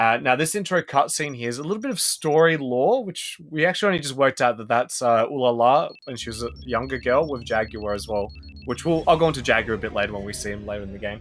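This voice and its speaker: A man with an Australian accent, a medium pitch and lively intonation, at a very fast pace with hardly any pauses and big swings in loudness. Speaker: speedrun commentator. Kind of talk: live commentary. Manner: casual, animated.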